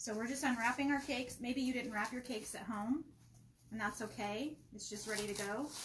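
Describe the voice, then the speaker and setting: Soft-spoken delivery at a fairly quick pace keeps to fairly even intonation. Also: woman, high pitch for a woman. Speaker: cake decorating instructor. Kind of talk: live tutorial. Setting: live stream from a shop.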